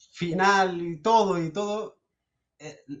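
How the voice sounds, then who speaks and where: Speaking at a very slow pace with a Chilean accent, a man shows ordinary pitch variation. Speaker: caller asking a priest questions. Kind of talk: casual Q&A conversation. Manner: halting.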